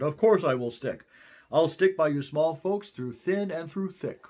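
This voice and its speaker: At a moderate pace, a man does a put-on character voice pitched fairly high. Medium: read story.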